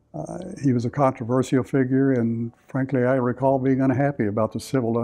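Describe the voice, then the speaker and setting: A man's medium-pitched voice in a Texan accent, fairly quick in pace, with fairly even intonation. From US South, Victoria, Texas. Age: 70s. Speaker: church member. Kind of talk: testimony. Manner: halting.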